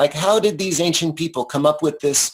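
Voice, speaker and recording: This man speaks with an American accent. His pitch varies in an ordinary way. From US Northeast, outside New York City. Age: 60s. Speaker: psychedelics researcher. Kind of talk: interview. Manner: halting.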